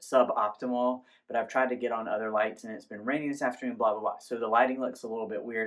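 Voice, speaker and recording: Over a quiet background, a man speaks at a fairly quick pace and a medium pitch. His intonation is monotone and flat. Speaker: candle reviewer. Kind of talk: product review.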